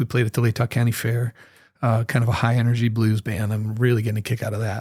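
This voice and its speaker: A man with an American accent, somewhat breathy, medium-pitched, in a flat monotone at a very fast clip. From northern Idaho. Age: 60s. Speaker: musician. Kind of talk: casual chat. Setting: studio.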